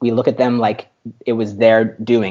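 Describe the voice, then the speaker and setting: At a fairly quick pace, a man talks with a medium pitch. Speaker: tech startup founder. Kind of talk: interview conversation. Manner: fast.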